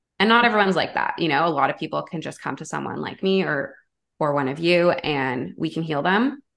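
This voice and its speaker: A woman's very deep, low voice with vocal fry, lively intonation, a fairly quick pace and a Canadian accent, against a quiet background. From Canada, Toronto. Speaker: intuitive guide and energy healer. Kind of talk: casual chat.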